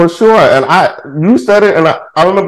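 A man speaks in an American accent. His intonation is lively. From Texas, Houston. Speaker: podcast host. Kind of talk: casual chat. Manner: animated.

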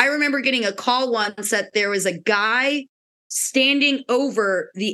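A woman's fairly high, bright, sharp voice with an American accent, ordinary pitch variation and a fairly slow pace. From Pennsylvania. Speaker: park ranger and falconer. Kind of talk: casual interview chat.

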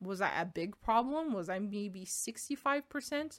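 On a very clean recording with a silent background, a woman talks at a fairly slow pace. Her pitch is medium and varies in an ordinary way. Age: 20s. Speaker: podcast host. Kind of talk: casual monologue. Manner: halting.

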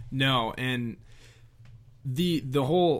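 A man's voice at a medium pitch. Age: 20s. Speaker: fraternity regional director. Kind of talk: interview. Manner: quiet.

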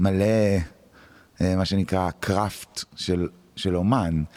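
A man's fairly low-pitched voice with fairly even intonation, recorded dry and close with no echo. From Israel, Tel Aviv. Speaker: music producer and musician. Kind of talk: interview conversation. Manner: halting.

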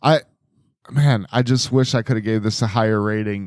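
The man has an unremarkable speaking voice at medium pitch, with fairly even intonation and a moderate pace. The recording is very clean with a silent background. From Wisconsin. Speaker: podcast co-host. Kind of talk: casual chat.

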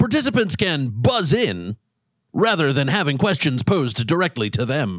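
A man speaks at a fairly slow pace with vocal fry and very wide pitch swings. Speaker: quiz host. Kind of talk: game show quiz.

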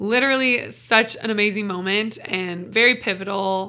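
Bright and sharp in tone, a woman with an American accent speaks at a fairly slow pace with ordinary pitch variation. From US Pacific Northwest, Seattle area. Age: 20s. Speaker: fitness coach, podcast host. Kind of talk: personal monologue. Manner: casual, many filler words.

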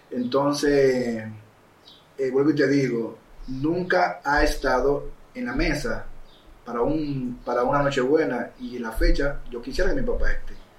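Fairly slow speech from a man, set in audible room echo. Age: 40s. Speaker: filmmaker and photographer. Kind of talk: casual interview.

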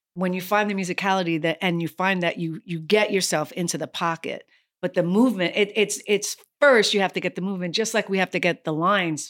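A woman with an American accent and an unremarkable speaking voice talks at a fairly quick pace and a medium pitch, with ordinary pitch variation. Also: very clean recording, silent background. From New York City, Lower East Side. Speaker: actress and yoga instructor. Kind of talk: casual chat.

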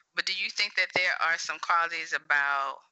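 A woman with an American accent at a moderate pace. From US South. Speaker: podcast host and mental health therapist. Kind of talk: interview podcast conversation.

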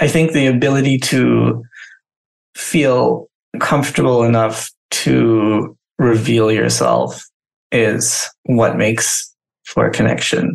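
A man speaks at a very slow pace, leaving long, frequent pauses. His loudness stays very even throughout. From Southeast Asia (Myanmar, Thailand, Singapore). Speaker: creative agency founder. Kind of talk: interview.

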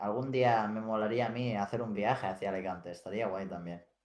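A man talks with a normal speaking voice at a fairly low pitch. His pace is moderate and his intonation fairly even. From Mallorca, Spain (Felanitx). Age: young. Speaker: streamer. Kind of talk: casual chat.

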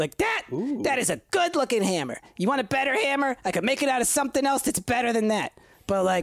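Delivered at a very fast pace, this put-on character voice sits at a fairly high pitch. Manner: rambling, casual, friendly.

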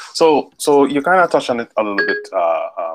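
Recorded dry and close with no echo, a man speaks with a Trinidadian accent. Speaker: podcast host. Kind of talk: casual chat.

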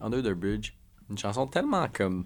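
Over a silent background in a very clean recording, a man with a Quebec accent speaks at a fairly low pitch with ordinary pitch variation. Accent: Québécois French. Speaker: podcast co-host. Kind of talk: casual chat.

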